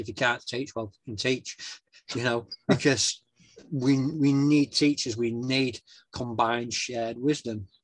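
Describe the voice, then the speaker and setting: A man speaks with a Yorkshire accent at a medium pitch. The background is quiet. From northern England, West Yorkshire (near Wakefield). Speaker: actor, writer and author. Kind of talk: interview conversation.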